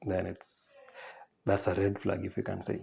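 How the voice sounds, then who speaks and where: Here a man speaks at a fairly slow pace. His tone is dark and mellow, and somewhat breathy. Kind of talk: informal talk with read-out quotes. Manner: hesitant, with fillers and restarts.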